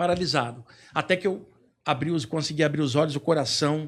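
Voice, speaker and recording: A plain, everyday voice from a man, fairly high in pitch and at a fairly quick pace, in a very clean recording with a silent background. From Brazil, Rio de Janeiro. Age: 60s. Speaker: spiritual author and lecturer. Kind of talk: podcast interview, personal story.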